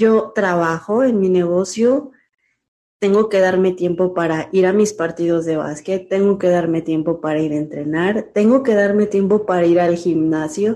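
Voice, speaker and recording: Speaking fairly slowly, a woman with a dark, mellow tone uses a medium pitch and ordinary pitch variation. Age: 30s. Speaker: amateur bodybuilder and nurse. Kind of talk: interview.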